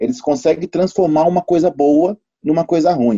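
A man talks in a dark, mellow tone. The sound is dry and close, with no echo. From São Paulo, south zone. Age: 40s. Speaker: former professional basketball player. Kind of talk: casual discussion.

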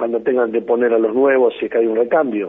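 A man speaks with a Rioplatense accent. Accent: Argentine Spanish (rioplatense). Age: 50s. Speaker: politician. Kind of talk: radio interview.

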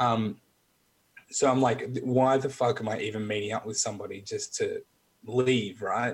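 A man speaks in a somewhat breathy voice at medium pitch. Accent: Australian. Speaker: military veteran. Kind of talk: casual chat.

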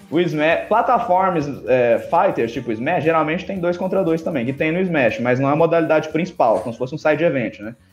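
A man with a high pitch and lively intonation talks with hardly any pauses over noticeable background noise. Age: 20s. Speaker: competitive video game player. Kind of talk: casual chat.

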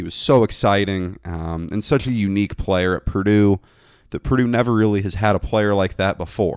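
Over a silent background in a very clean recording, a man with an unremarkable speaking voice talks at a moderate pace and fairly low pitch, with ordinary pitch variation. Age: 20s. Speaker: college sports podcast host, student. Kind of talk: casual sports talk podcast.

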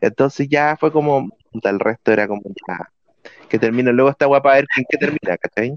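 With a Chilean accent, a man talks fairly quickly in a fairly high voice with ordinary pitch variation, the sound dry and close with no echo. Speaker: podcast co-host. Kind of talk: casual chat. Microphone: bad audio with ghostly background voice.

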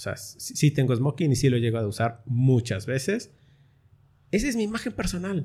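A man's medium-pitched, somewhat breathy voice with a dark, mellow tone, very wide pitch swings and a moderate pace. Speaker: voice-over announcer and podcast host. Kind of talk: casual chat.

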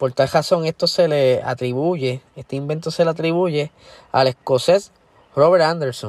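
A man speaks at a fairly slow pace in a plain, everyday voice, fairly high in pitch with ordinary pitch variation, in a dry, close sound with no echo. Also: very clean recording, silent background. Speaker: motorsport podcast host. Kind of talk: solo podcast commentary.

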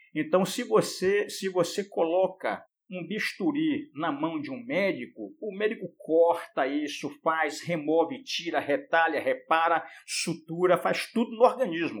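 A man's high voice with lively intonation, a fairly slow pace and hardly any pauses. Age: 60s. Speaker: endodontist professor. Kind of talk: casual chat. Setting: video call.

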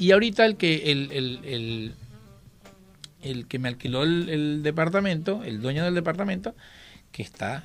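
Pitched fairly high, a man talks at a fairly slow pace. He leaves long, frequent pauses. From Venezuela. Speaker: drag queen performer. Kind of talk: radio interview. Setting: radio studio.

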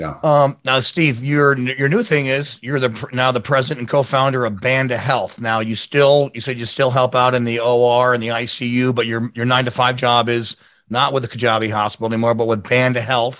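A man talks at a moderate pace, barely pausing, in an unremarkable speaking voice. His intonation stays fairly even. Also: medium pitch for a man. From New York State (Albany area). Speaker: radio show host. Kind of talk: radio interview.

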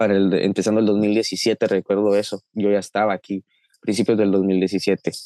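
Dry and close with no echo, a man's fairly low, dark, mellow voice moves at a moderate pace with monotone, flat intonation and very even loudness. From Guatemala, Chiquimula. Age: 20s. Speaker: young migrant. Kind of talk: interview.

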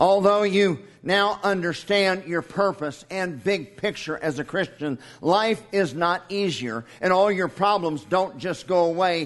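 A man talks at a very slow pace. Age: 50s. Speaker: pastor. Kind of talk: sermon.

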